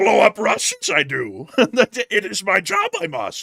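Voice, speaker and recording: A man puts on a character voice, speaking at a fairly slow pace with a high pitch. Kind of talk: odd inverted syntax. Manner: bad, poor imitation.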